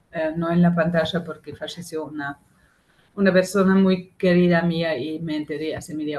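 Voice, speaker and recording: A somewhat breathy woman's voice with a German accent, fairly low in pitch, flat and monotone in intonation, at a moderate pace. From Germany. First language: German (speaking Spanish). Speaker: activist, member of collective. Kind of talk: talk to a class. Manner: halting.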